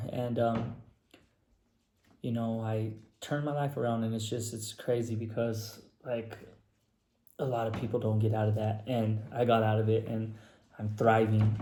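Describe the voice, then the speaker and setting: A somewhat breathy, dark and mellow voice in a flat monotone, at a moderate pace with long, frequent pauses and audible room echo. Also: man, medium pitch for a man. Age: 30s. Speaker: person in addiction recovery. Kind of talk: personal testimony. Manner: casual, filler-heavy.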